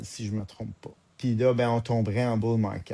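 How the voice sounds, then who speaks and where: The voice carries a Quebec accent and a dark, mellow tone. It moves at a fairly slow pace, with a dry, close sound and no echo. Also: man. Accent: Québécois French. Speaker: podcast co-host. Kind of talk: casual podcast discussion. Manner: hesitant, many fillers.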